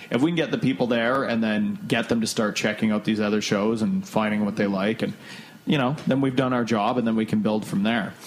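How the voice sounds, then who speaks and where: Over noticeable background noise, a man with a slight northern Ontario accent talks at a fairly quick pace in a medium pitch, with ordinary pitch variation and very even loudness. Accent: Canadian, slight northern Ontario. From Thunder Bay, Canada. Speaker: podcast host. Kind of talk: casual chat.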